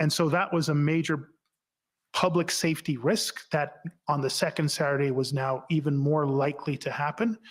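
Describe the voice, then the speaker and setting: A man with a Canadian accent speaks in an ordinary speaking voice at a moderate pace, his fairly high pitch moving in a fairly even line at very even loudness, on a very clean recording with a silent background. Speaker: former police chief testifying at inquiry. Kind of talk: sworn testimony. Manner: formal.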